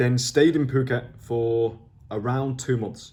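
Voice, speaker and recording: A man's medium-pitched voice, dark and mellow in tone, somewhat breathy, with ordinary pitch variation. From northern England, near Liverpool. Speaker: online entrepreneur vlogger. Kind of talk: video journal, talking to camera. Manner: casual, hesitant with fillers and restarts.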